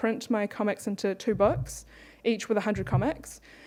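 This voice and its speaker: Her voice has a dark, mellow tone and a fairly high pitch, and the woman speaks at a moderate pace. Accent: New Zealand. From New Zealand (born in Beijing, moved at five). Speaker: webcomic artist. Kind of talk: conference panel talk.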